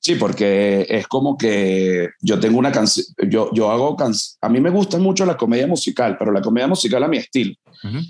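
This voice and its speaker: A man speaks at a fairly quick pace with very wide pitch swings. His loudness stays very even over a quiet background. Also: medium pitch for a man. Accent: Venezuelan. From Venezuela. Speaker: comedian. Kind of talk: casual chat.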